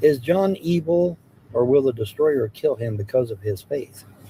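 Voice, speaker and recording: A man's somewhat breathy voice, dark and mellow in tone, with very wide pitch swings. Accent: American. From US Midwest, Hamilton, Ohio. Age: 60s. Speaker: live streamer. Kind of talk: casual live-stream chat reading comments. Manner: casual, repetitive.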